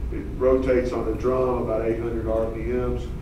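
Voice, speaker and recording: A man is speaking with audible room echo. Noticeable background noise is also present. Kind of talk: conference presentation. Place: hall.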